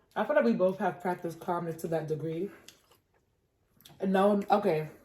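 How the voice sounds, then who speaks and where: This somewhat breathy voice has a dark, mellow tone, an American accent, and ordinary pitch variation. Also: woman, medium pitch for a woman. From New York. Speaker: podcast co-host. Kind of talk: casual chat. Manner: fast.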